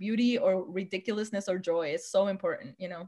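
At a very fast pace, a woman talks in a somewhat breathy voice. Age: 30s. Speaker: visual artist. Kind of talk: casual chat.

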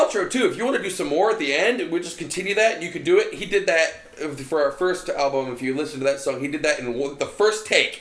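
Against noticeable background noise, a man with a high voice talks at a fairly quick pace with hardly any pauses. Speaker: band guitarist and lead vocalist. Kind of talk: casual podcast interview chat.

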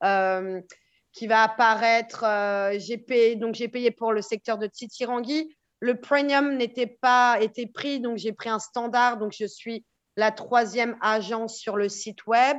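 A woman speaks at a very slow pace with a fairly high pitch. Her intonation stays fairly even over a quiet background. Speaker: real estate agent. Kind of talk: podcast interview.

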